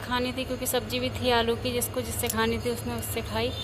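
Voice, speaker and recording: A soft-spoken woman with audible room echo and music playing behind her. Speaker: vlogger. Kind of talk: casual vlog chat. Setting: outdoors on rooftop.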